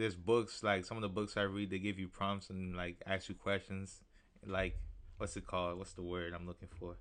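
Soft-spoken and very deep in pitch, a man talks at a moderate pace in a monotone, flat way. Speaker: rapper. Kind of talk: casual chat. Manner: reserved, soft-spoken.

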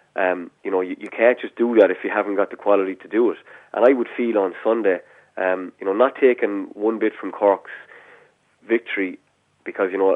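The delivery moves at a fairly quick pace. An Irish accent shapes the words. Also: man. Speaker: hurling analyst. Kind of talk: casual chat.

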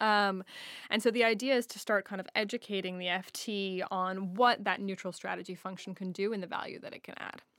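In a very clean recording with a silent background, a woman with an American accent and a plain, everyday voice speaks at medium pitch with fairly even intonation and big swings in loudness. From United States. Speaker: media business executive. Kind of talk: interview. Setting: studio.

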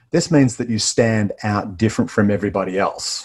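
He speaks with an Australian accent. This man's pitch is fairly low, with ordinary pitch variation. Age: 50s. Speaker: business referral trainer. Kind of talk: interview.

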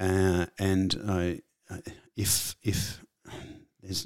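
A man with an Australian accent talks in a very deep, low pitch. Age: 50s. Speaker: comedian and actor. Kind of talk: casual interview. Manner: halting, repeats words.

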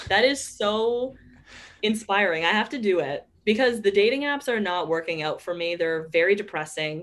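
In a plain, everyday voice, a woman speaks at a medium pitch and a moderate pace with lively intonation. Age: 20s. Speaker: podcast host and comedian. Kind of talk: casual chat. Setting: home recording in bedroom.

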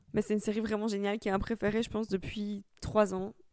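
Recorded very cleanly over a silent background. The pace is very fast. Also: woman. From Italy. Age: 20s. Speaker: podcaster. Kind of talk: casual monologue. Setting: recording at home. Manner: casual, with frequent fillers.

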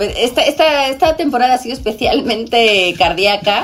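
A woman with a Spanish accent talks at a moderate pace with lively intonation while music plays in the background. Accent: Spanish accent with ceceo. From Spain. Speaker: TV presenter. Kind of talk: casual chat.

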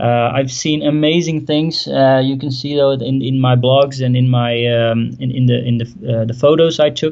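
A medium-pitched man with a Dutch accent, moderate pace and fairly even intonation. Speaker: WordPress business owner. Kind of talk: interview.

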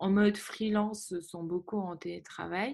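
The woman's delivery is extremely slow. She keeps her intonation fairly level. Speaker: podcast host. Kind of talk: interview.

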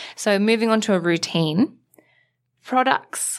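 A woman with an Australian accent and ordinary pitch variation on a very clean recording with a silent background. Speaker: beauty editor, podcast co-host. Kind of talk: casual chat. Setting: studio.

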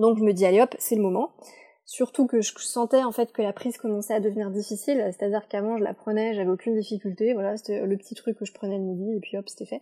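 Dry and close with no echo, a woman's fairly high voice has a dark, mellow tone, fairly even intonation and a very fast pace. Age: 20s. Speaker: podcast guest sharing personal testimony. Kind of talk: testimony. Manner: hesitant, many fillers.

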